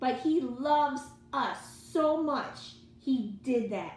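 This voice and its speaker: Over noticeable background noise and audible room echo, a woman talks in an animated tone with ordinary pitch variation. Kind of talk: motivational religious monologue. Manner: loud.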